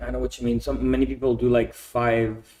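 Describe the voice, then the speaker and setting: This is a man speaking. He has a Quebec accent. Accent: French Canadian accent in English. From Quebec, Canada. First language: French. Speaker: expat entrepreneur. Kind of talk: podcast interview. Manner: casual, with many repetitions.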